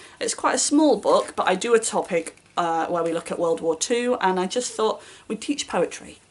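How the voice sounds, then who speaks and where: A woman with a British accent, fairly quick pace, and very wide pitch swings. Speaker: booktuber and primary school teacher. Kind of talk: casual vlog talk. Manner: fast.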